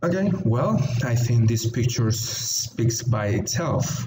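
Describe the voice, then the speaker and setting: A man's medium-pitched voice at a very slow pace, ordinary pitch variation, and noticeable background noise. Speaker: English teacher. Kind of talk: online English lesson. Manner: slow, clear teaching pace.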